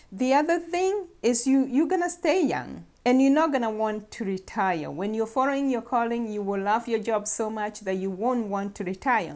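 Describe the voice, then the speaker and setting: A woman with an unremarkable speaking voice talks at a moderate pace in a fairly high pitch with lively intonation. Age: 50s. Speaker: nurse practitioner and health talk host. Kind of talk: talk to camera on faith and health.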